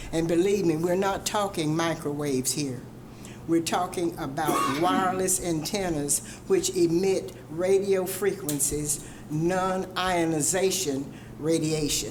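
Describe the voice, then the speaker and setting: Over noticeable background noise and audible room echo, a woman speaks fairly slowly at a fairly low pitch with ordinary pitch variation. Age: 70s. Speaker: resident speaking at public hearing. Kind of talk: public comment at council meeting. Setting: city council chamber.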